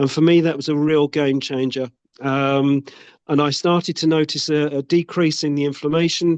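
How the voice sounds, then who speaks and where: Fairly high-pitched, monotone male speech with flat intonation at a moderate pace. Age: 60s. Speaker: product user giving testimonial. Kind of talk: testimony.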